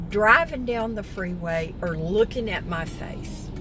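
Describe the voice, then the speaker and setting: At a fairly slow pace, a woman speaks in a room with audible echo. Background noise is noticeable too. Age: 60s. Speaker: vlogger. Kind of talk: casual vlog talk to camera. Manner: animated.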